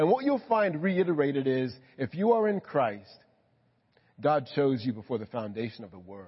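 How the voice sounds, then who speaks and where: A somewhat breathy man with a fairly high pitch speaks at a moderate pace, with very wide pitch swings and big swings in loudness. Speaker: pastor. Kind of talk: sermon. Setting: church.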